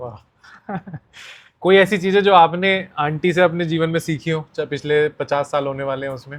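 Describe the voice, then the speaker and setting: This man has an unremarkable speaking voice, fairly high in pitch, with ordinary pitch variation and big swings in loudness. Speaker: podcast host. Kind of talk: interview questions.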